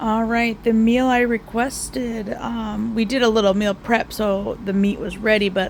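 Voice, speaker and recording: Amid noticeable background noise, a soft-spoken woman talks at a fairly slow pace and fairly high pitch with fairly even intonation. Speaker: home cooking vlogger. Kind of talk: casual vlog. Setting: at home in recliner.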